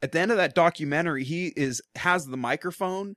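Speaking at a moderate pace in an American accent, a man has an unremarkable speaking voice with ordinary pitch variation, recorded with a dry, close sound and no echo. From Portland, Oregon. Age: 20s. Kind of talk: casual chat. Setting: studio.

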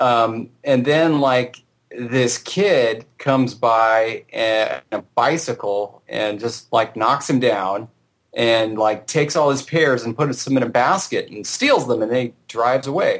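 Speaking very slowly with a Southern California accent, a man uses a medium pitch and ordinary pitch variation. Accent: Southern California drawl. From Southern California, Orange County. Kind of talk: casual chat. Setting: remote call.

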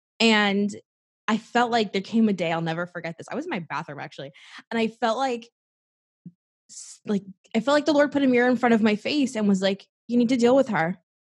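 This woman talks at a very fast pace with a fairly high pitch, a somewhat breathy voice and lively intonation. Her loudness swings widely, long pauses come often, and the background is quiet. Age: 20s. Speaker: life coach. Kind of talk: casual interview.

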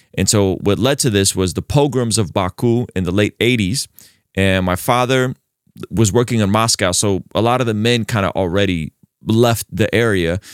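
A normal speaking voice with an American accent moves at a moderate pace, with ordinary pitch variation and very even loudness. The recording is very clean, dry and close, with no echo and a silent background. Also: man, fairly low pitch for a man. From Azerbaijan, raised in the US from childhood. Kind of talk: interview.

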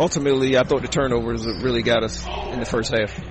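A man of medium pitch talks at a moderate pace with ordinary pitch variation against noticeable background noise. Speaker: college basketball head coach. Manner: relaxed, hesitant with fillers.

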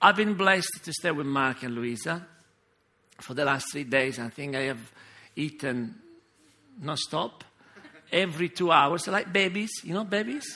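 At a moderate pace, a man with a bright, sharp tone speaks with very wide pitch swings and long, frequent pauses. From Sicily, Italy. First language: Italian. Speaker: pastor. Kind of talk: sermon. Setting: church.

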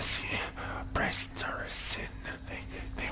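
A man performs in a put-on character voice. Loud background noise runs behind him. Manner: evil, preachy.

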